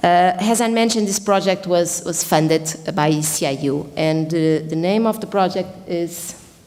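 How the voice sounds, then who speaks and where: A woman with a fairly low pitch talks as noticeable noise carries on in the background. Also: ordinary pitch variation, moderate pace, hardly any pauses. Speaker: professor and researcher. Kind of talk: conference presentation. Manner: loud.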